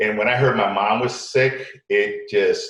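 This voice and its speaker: Room echo is audible around the voice. It belongs to a man. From Connecticut, US, Puerto Rican family. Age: 60s. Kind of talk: interview. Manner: halting, many repetitions.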